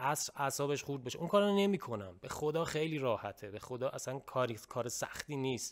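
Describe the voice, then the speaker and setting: A man talks at a fairly quick pace in a fairly high pitch. The background is quiet. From Iran. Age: young. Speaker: YouTuber. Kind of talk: casual chat. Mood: earnest, reflective. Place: home room. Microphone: studio mic.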